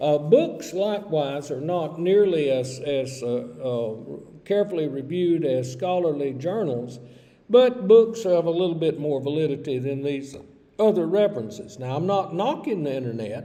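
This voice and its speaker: A man with a Southern US accent, fairly high-pitched, lively in intonation, at a moderate pace amid audible room echo. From US South, Georgia. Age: 60s. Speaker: college English instructor. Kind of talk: recorded lecture. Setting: recorded virtual classroom video.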